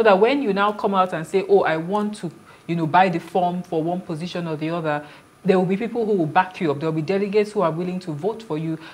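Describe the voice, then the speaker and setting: Very fast speech comes from a woman with a Nigerian accent. Her pitch is medium. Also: ordinary pitch variation. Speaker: political candidate; candidate. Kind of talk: TV panel interview. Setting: studio. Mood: earnest, persuasive. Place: studio. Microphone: lapel.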